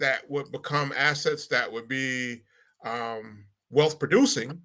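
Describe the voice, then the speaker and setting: Speaking very slowly with an American accent, a man has a bright, sharp tone. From Milwaukee, Wisconsin. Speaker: panel guest. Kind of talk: panel discussion.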